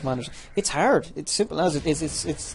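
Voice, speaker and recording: The speaker talks at a very fast pace with an Irish accent. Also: man. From Ireland. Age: 20s. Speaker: gaming youtuber. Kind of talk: gameplay commentary. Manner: halting, many repetitions; casual.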